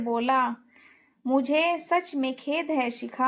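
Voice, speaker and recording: A high-pitched woman with fairly even intonation, on a very clean recording with a silent background. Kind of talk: romantic story narration.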